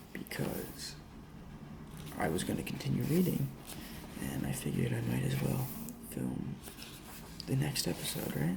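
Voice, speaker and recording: A man whispering over noticeable background noise. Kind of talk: casual talk to camera. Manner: whispered, soft-spoken.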